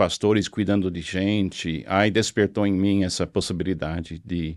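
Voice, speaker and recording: In an English accent, a man talks with a very deep, low pitch and fairly even intonation, in a very clean recording with a silent background and a dry, close sound with no echo. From US South, Florida (Miami). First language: English (speaking Portuguese). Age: 70s. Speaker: pastor. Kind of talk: interview testimony. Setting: studio.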